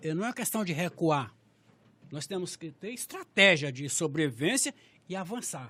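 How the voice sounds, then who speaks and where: Animated and bright with a sharp tone, a man speaks at a high pitch with very wide pitch swings. His pace is fairly slow, broken by long, frequent pauses. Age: 60s. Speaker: social activist. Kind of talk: podcast discussion. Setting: studio.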